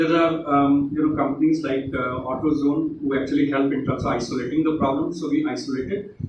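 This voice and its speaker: A man speaks at a fairly quick pace with ordinary pitch variation. Noticeable background noise and audible room echo come through. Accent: Uttar Pradesh. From India, Uttar Pradesh. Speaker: tech company executive, guest speaker. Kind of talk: motivational talk to students. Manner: hesitant, with many fillers.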